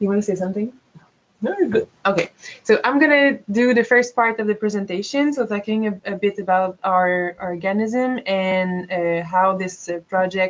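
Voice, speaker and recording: A woman speaks with a French-Canadian accent at a moderate pace. Her pitch is medium, with ordinary pitch variation. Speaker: biologist and project manager. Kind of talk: presentation. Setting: webinar. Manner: hesitant.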